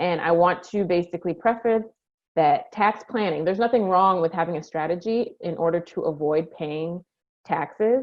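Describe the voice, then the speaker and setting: A woman's fairly low-pitched voice with ordinary pitch variation. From Montreal, Canada. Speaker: accountant. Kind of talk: presentation. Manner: fast.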